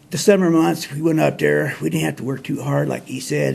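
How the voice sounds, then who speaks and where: Moderately paced male speech in an American accent, with noticeable background noise. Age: 60s. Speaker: show host telling life stories. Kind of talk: casual storytelling monologue. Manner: folksy, relaxed.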